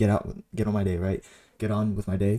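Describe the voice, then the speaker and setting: Very fast, shaky speech from a man with a fairly low pitch, a dark, mellow tone and monotone, flat intonation, on a very clean recording with a silent background. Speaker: day trader and video creator. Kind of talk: trade recap tutorial. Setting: home recording in own room. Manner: shaky voice; casual, halting with many fillers.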